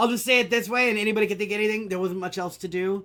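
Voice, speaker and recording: On a very clean recording with a silent background, a man speaks in a raised, projected voice with a high pitch, a bright, sharp tone and ordinary pitch variation. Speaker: video game community manager. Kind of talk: casual chat. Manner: halting, many fillers and repeats.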